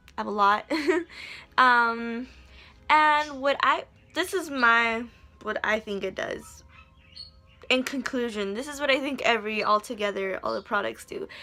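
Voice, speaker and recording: Over music in the background, a woman with fairly high pitch speaks at a fairly slow pace, leaving long, frequent pauses, with ordinary pitch variation. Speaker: beauty vlogger. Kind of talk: casual skincare tutorial vlog. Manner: casual, halting.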